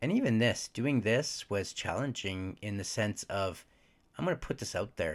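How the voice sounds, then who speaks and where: In a very clean recording with a silent background, a man with an ordinary speaking voice talks at a fairly slow pace with ordinary pitch variation. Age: 40s. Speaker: podcast host. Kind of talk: personal monologue.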